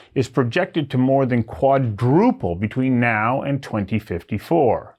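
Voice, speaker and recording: A man with an unremarkable speaking voice talks at a moderate pace with lively intonation. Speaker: talk show host. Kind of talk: show intro narration.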